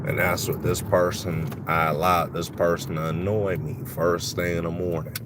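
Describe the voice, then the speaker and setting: Room echo and noticeable background noise can be heard. The speech moves at a moderate pace with ordinary pitch variation and hardly any pauses. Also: man, very deep, low pitch for a man. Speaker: vlogger. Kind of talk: casual live stream monologue. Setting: in a car.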